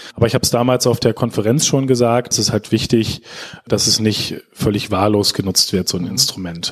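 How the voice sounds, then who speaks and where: A man with a fairly low pitch over noticeable background noise. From Lower Saxony, Germany (Schaumburg district). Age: young. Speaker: digital agency director. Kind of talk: interview.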